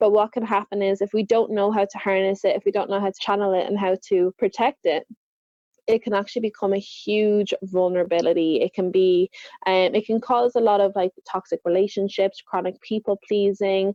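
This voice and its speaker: A woman with an Irish accent talks at a fairly quick pace and a medium pitch. Her intonation stays fairly even. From Ireland. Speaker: confidence coach. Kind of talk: podcast interview.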